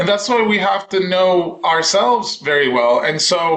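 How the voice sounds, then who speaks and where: Someone with a Spanish accent speaks in a raised, projected voice with lively intonation. Noticeable background noise is present. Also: man. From Dominican Republic. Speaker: voice teacher. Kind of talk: casual chat.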